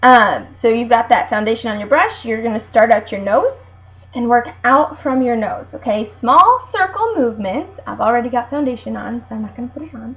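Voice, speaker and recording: A woman at a fairly quick pace. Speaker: beauty consultant. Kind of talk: tutorial. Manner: fast; animated.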